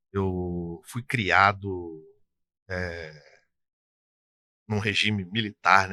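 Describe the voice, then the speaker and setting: A man with a very deep, low pitch and a bright, sharp tone speaks with fairly even intonation and an interior Rio de Janeiro accent, the sound dry and close with no echo on a very clean recording with a silent background. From interior of Rio de Janeiro state, Brazil. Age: 60s. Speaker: tax consultancy business owner. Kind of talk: interview. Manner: casual, conversational.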